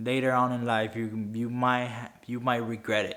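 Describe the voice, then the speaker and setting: The speaker talks fairly slowly with a Spanish accent in a monotone, flat intonation. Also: man. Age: 20s. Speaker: finance YouTuber. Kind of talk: talking-head video. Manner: halting, frequent self-corrections.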